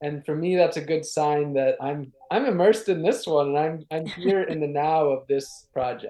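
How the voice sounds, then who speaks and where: Hardly pausing, a man with an American accent uses a normal speaking voice at a moderate pace, a fairly high pitch and ordinary pitch variation. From Wisconsin, Ashland on Lake Superior. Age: 30s. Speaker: sustainability activist. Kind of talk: interview.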